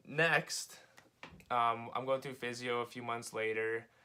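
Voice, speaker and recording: A man with a Western Canadian accent, medium pitch and a bright, sharp tone. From Canada, Calgary, Alberta. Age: 20s. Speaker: vlogger sharing personal medical story. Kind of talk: personal testimony vlog. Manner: casual, filler-heavy with frequent 'um' and 'uh'.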